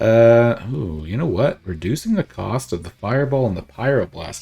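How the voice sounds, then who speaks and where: A man with a fairly low pitch speaks at a fairly slow pace with lively intonation, music playing in the background. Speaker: gaming streamer. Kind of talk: gameplay commentary. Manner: casual, thinking aloud with fillers.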